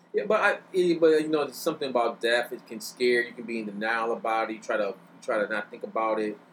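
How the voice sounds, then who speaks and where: Lively intonation marks this man's medium-pitched voice at a very fast pace. His loudness swings widely. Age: 30s. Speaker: podcast guest, hip hop fan. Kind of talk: casual chat.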